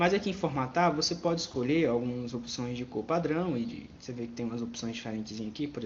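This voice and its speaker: Speaking very fast, the man uses a medium pitch and lively intonation. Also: hardly any pauses. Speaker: computer teacher. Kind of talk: tutorial.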